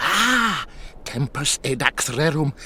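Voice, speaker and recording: Over clear background noise, a man puts on a character voice at a fairly high pitch. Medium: machinima. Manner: cackling, cryptic, evasive.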